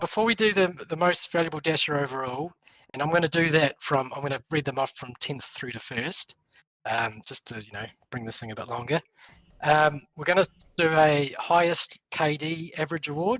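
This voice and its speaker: An unremarkable speaking voice with ordinary pitch variation and big swings in loudness is heard in a dry, close sound with no echo. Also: man. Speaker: esports commentator. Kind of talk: awards announcement.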